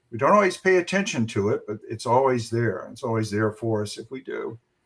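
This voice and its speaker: A man with an American accent and a plain, everyday voice, at medium pitch and a moderate pace. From US South. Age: 60s. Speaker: coach for highly sensitive men. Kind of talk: interview.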